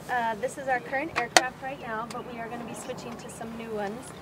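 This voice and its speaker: Against noticeable background noise, a woman talks at a moderate pace in a high pitch. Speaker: flight nurse. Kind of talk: safety training talk. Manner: mumbling; quiet.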